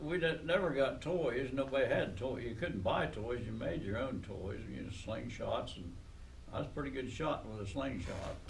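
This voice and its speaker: Moderately paced male speech with an American accent, plus audible room echo and noticeable background noise. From southeastern Ohio. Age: 80s+. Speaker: oral history interviewee. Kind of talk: oral history interview. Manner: halting, many fillers.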